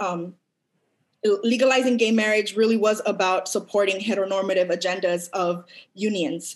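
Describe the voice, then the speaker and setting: A woman with an unremarkable speaking voice talks with an American accent and ordinary pitch variation. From Los Angeles, US. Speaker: academic researcher, guest speaker. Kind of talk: lecture; Q&A discussion. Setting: video call (virtual event).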